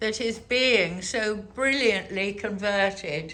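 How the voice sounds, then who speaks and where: A woman with a bright, sharp tone and lively intonation speaks amid audible room echo. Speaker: hotel reviewer, travel vlogger. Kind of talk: room tour walkthrough. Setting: hotel suite. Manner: enthusiastic.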